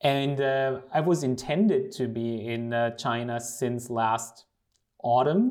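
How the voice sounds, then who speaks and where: A man with a German accent speaks at a medium pitch. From Germany. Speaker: lawyer. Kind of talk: interview.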